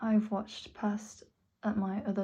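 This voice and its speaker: The voice has a dark, mellow tone, somewhat breathy, with monotone, flat intonation at a fairly slow pace. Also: woman. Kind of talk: personal vlog monologue. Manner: slurred at times.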